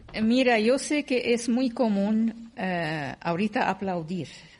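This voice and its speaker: Against a quiet background, a somewhat breathy woman speaks with very wide pitch swings. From Syria. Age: 50s. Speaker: writer and radio host. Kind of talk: panel conversation.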